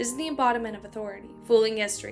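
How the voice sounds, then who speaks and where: A woman's fairly high voice at a very fast pace, with ordinary pitch variation and music in the background. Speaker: streamer reading a novel aloud. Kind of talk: reading aloud. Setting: on camera stream.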